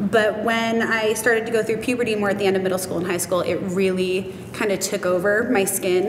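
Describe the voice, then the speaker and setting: Amid noticeable background noise, a woman speaks at a fairly quick pace with ordinary pitch variation. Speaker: cosmetics retail worker and nutrition student. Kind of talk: interview answer. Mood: open, warm, sometimes emotional. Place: studio.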